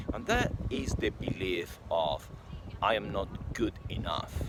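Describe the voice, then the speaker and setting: Noticeable background noise surrounds a man speaking with a Spanish accent. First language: not English. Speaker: sales and mindset coach. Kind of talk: motivational talk to camera.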